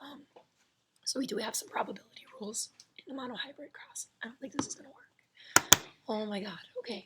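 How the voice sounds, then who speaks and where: Whispering at a fairly quick pace, a woman's voice has big swings in loudness against noticeable background noise. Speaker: biology teacher. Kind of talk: lecture.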